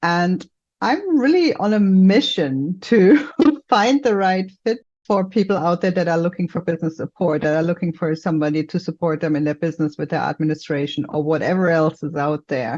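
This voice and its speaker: Against a quiet background, a woman with a fairly low voice speaks at a moderate pace with a slight German accent. Her intonation is lively. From Germany, Mainz near Frankfurt. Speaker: business support entrepreneur. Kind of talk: podcast interview.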